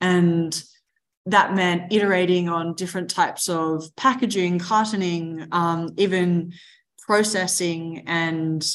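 Fairly even intonation marks this woman's fairly low-pitched voice as she speaks at a fairly slow pace with an Australian accent. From Australia, Mornington Peninsula near Melbourne. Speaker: agtech startup co-founder. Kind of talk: interview.

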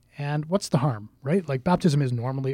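Lively intonation and a fairly quick pace mark this man's fairly high-pitched voice. It sounds somewhat breathy, dry and close, with no echo. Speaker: deacon and podcast host. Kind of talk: casual religious discussion.

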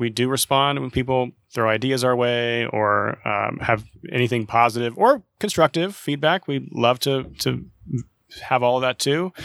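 An ordinary speaking voice from a man with an American accent, medium pitch and ordinary pitch variation at a moderate pace, dry and close with no echo, on a very clean recording with a silent background. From Oklahoma. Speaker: artistic director of an art center. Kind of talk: interview conversation.

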